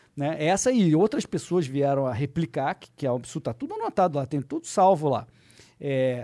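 A man's fairly quick delivery, dark and mellow in tone, with lively intonation and big swings in loudness. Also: fairly high pitch for a man.

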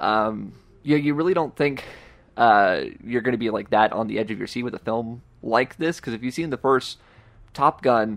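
This man has a normal speaking voice, medium in pitch, with lively intonation and a fairly quick pace. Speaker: podcast co-host. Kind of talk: casual chat about movies.

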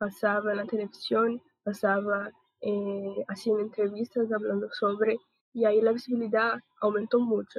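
Spoken at a moderate pace with a Portuguese accent, the delivery stays monotone and flat. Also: woman, fairly high pitch for a woman. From Brazil. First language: Portuguese (speaking Spanish). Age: 20s. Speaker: podcast host. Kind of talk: casual panel discussion.

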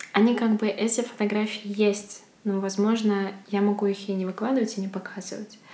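Fairly slow, monotone, flat speech from a woman at medium pitch, over noticeable background noise. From Belarus, Bykhov near Mogilev. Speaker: photographer. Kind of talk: interview conversation.

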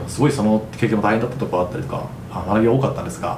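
Male speech with noticeable noise behind it and audible echo from the room. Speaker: podcast host. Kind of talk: solo podcast monologue. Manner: polite formal.

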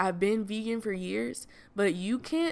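In a bright, sharp tone, a woman with an American accent speaks at a medium pitch with ordinary variation, on a very clean recording with a silent background. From US South. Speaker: podcaster. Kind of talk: casual chat. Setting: Airbnb rental.

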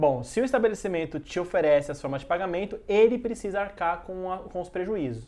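The voice has a dark, mellow tone and lively intonation. It moves at a fairly quick pace with hardly any pauses. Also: man, high pitch for a man. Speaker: journalist and podcast host. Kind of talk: casual chat.

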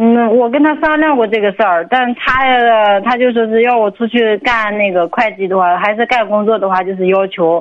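A woman talks in a normal speaking voice at a fairly high pitch, with ordinary pitch variation and very even loudness. Her pace is moderate, with hardly any pauses. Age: 20s. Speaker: radio call-in caller, stay-at-home mother. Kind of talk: phone-in advice call.

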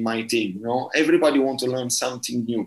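A man speaks at a medium pitch with an Italian accent. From southern Italy, Bari. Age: 30s. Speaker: football coach. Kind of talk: interview. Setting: remote call. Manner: halting.

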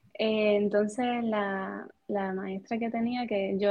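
A woman at a medium pitch, fairly even in intonation, at a fairly slow pace. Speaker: music teacher. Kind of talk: interview conversation. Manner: calm, even-toned.

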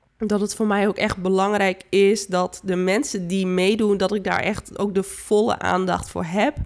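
Very clean and silent in the background, this recording has a woman speaking fairly slowly at a medium pitch, with monotone, flat intonation. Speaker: therapist, coach and healer podcaster. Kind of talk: spiritual monologue podcast.

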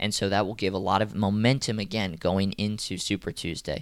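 A man with an American accent and a normal speaking voice talks at a moderate pace in a fairly low pitch, in a very clean recording with a silent background. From Atlanta, US South. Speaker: politics podcast host. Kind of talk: solo news commentary podcast. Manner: casual, conversational.

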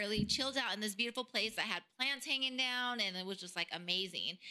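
Over noticeable background noise, a woman with a fairly high pitch talks at a very fast pace with lively intonation and hardly any pauses. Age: 30s. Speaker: podcast co-host. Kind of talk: hosting a trivia game; casual chat.

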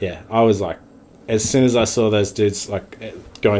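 Ordinary pitch variation in a New Zealand accent. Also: man. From New Zealand (Wellington). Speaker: bar owner and former pro snowboarder. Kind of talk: casual chat.

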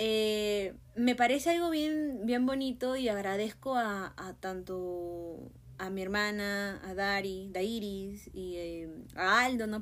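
A woman with a fairly high voice talks very slowly, her pitch varying in an ordinary way. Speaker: podcast host. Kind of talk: casual monologue.

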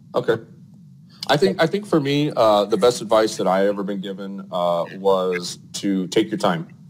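A man talks at a moderate pace in a plain, everyday voice. His pitch is fairly low and his intonation is lively. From Arizona. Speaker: plumbing company owner. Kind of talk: casual interview.

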